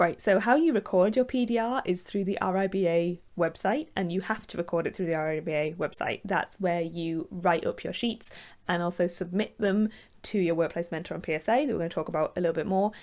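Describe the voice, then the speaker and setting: Speaking with a northern English accent, a woman at medium pitch keeps a fairly quick pace. The recording is very clean, with a silent background. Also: ordinary pitch variation. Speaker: architect. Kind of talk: tutorial. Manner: casual, with fillers.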